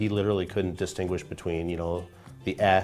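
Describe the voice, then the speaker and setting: Music in the background beneath a monotone, flat intonation. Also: man. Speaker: brain trainer. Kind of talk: interview answer.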